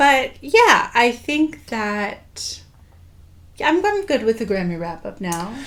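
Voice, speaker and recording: Quietly and at a very slow pace, a woman speaks at a fairly high pitch with very wide pitch swings and long, frequent pauses. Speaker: podcast co-host. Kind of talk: casual chat.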